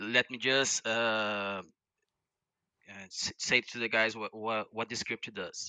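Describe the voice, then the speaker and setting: In a non-native accent, the speaker talks very slowly with fairly even intonation, over a quiet background and a dry sound with no echo. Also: man. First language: not English. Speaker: viewer calling in to demo a script; guest. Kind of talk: casual tech demo. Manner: halting, many repeated words. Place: home room. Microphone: headset.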